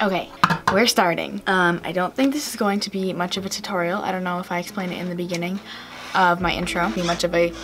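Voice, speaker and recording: Noticeable background noise behind a woman's medium-pitched voice. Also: ordinary pitch variation. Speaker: beauty vlogger. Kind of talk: casual talking video while doing makeup. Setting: home, TV on in background. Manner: hesitant, many fillers.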